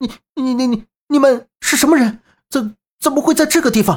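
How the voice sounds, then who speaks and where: In a put-on character voice, a female-sounding voice speaks at a high pitch, shaky and at a moderate pace. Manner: stammering, frightened.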